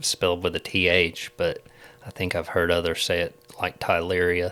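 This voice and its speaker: A man speaks at a moderate pace with a very deep, low pitch, a bright, sharp tone, and fairly even intonation. The recording is very clean, with a silent background. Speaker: agricultural extension agent and podcast co-host. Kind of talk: casual podcast chat. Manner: informal, halting at times.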